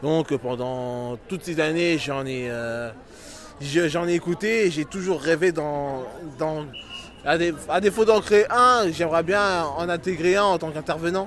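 Speaking at a very slow pace with long, frequent pauses, this man has a high pitch and ordinary pitch variation. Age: 30s. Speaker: pop culture fan. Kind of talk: street interview. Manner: halting.

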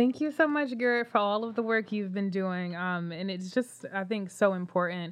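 A woman with a plain, everyday voice and an American accent speaks at a moderate pace with hardly any pauses, her medium pitch varying in an ordinary way. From Philadelphia. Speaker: podcast host and founder of career organization. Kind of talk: casual chat.

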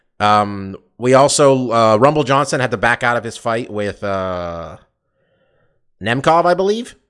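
A man at medium pitch, lively intonation, long and frequent pauses, quiet background. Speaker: MMA podcast host. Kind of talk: casual chat. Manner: fast talker.

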